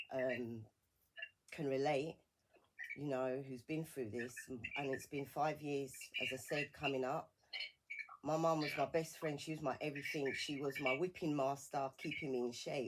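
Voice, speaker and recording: A woman's very deep, low voice in a British accent, at a moderate pace with fairly even intonation and long, frequent pauses. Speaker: bereavement support campaigner. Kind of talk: radio interview. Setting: radio studio. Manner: halting.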